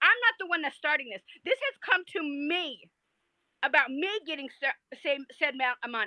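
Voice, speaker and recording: A woman projects a raised, high, bright, sharp voice with lively intonation at a moderate pace, in a dry, close sound with no echo. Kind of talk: heated debate. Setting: livestream. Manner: loud; animated.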